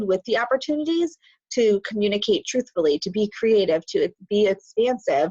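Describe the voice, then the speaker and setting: A woman with a plain, everyday voice speaks at a moderate pace with a fairly high pitch and lively intonation. The sound is dry and close, with no echo. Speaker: spiritual teacher livestream host. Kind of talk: live stream talk. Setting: live stream on Zoom and Facebook.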